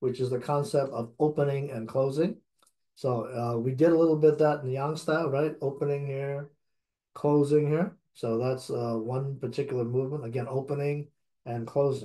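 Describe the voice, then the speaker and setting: Against a quiet background, a man with a dark, mellow, somewhat breathy tone speaks at a moderate pace with fairly even intonation. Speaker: tai chi instructor. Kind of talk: lecture. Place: home room. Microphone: webcam.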